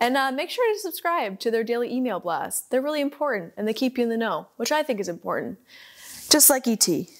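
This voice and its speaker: A woman's high, animated, enthusiastic voice at a very fast pace, with very wide pitch swings and a quiet background. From Canada (Ontario). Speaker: podcast host. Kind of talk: casual interview chat. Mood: cheerful, animated. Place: studio.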